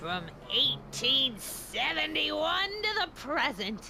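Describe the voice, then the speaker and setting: A woman puts on a high-pitched character voice and speaks very slowly. Background noise is clearly heard. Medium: video game. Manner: stern, scolding.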